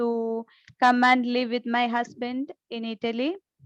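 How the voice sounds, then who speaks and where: A woman speaks with a high voice. The sound is dry and close with no echo, over a quiet background. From India, Kerala. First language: Malayalam. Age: 40s. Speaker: speaker at an online summit. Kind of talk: motivational talk. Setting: video call. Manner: halting, many fillers.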